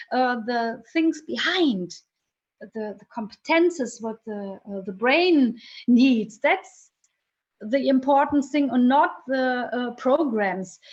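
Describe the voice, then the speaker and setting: A woman's high-pitched voice, very slow, with lively intonation. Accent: German. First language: German. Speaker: vocational training researcher. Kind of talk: interview. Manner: halting.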